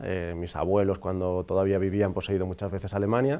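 A man's very deep, low voice, dark and mellow in tone, at a moderate pace. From Andalusia, Huelva; Andalusia. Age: 40s. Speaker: priest; priest guest. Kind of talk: interview. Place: studio. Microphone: lapel.

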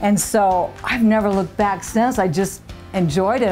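Over music in the background, a woman at medium pitch talks in an upbeat tone at a moderate pace. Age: 60s. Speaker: gym-goer, hospital patient. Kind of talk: interview answer.

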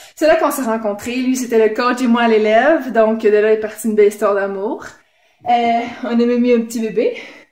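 A woman's fairly high voice with a Quebec accent, moderate pace and fairly even intonation, audible room echo over a quiet background. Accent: Québécois French. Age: 20s. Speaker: game show applicant. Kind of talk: audition video; casual vlog chat. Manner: hesitant, many fillers. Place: home room. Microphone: phone near.

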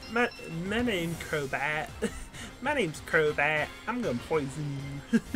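A put-on character voice sits at a middle pitch. Clear music plays in the background. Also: fairly slow pace. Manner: playful, menacing in jest.

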